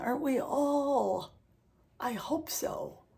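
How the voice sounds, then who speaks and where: A woman's somewhat breathy voice. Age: 70s. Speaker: lifestyle vlogger. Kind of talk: casual talk to camera. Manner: chatty, self-correcting.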